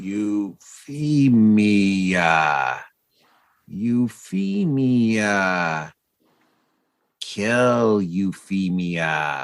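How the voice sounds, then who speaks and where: In a put-on character voice, a man talks very slowly with lively intonation and a fairly low pitch. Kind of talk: broken, halting speech. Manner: eerie, urgent.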